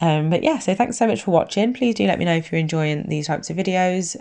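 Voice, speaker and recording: A woman with an English accent and a dark, mellow tone talks at a very fast pace against a quiet background. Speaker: nail technician youtuber. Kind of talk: tutorial voiceover. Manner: casual, hesitant with fillers.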